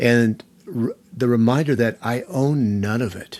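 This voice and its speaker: At a fairly slow pace, a normal speaking voice carries ordinary pitch variation. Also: man. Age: 60s. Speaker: podcast host. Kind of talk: interview conversation.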